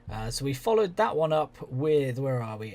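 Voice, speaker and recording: With a southern English accent, a man talks at a moderate pace. The recording is very clean, the background silent. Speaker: video game commentator. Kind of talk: gaming commentary. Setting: home recording with headphones. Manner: monotone.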